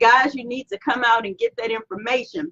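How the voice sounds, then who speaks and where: A woman's raised, projected voice, dry and close with no echo. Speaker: entrepreneur and branding coach. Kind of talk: live stream announcements. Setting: live video stream. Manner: animated.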